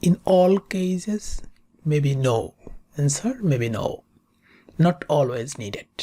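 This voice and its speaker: A woman with a very deep, low-pitched voice and a non-native accent speaks at a very slow pace, her somewhat breathy, dark, mellow tone moving through very wide pitch swings with long, frequent pauses. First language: not English. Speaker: statistics tutor. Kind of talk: tutorial.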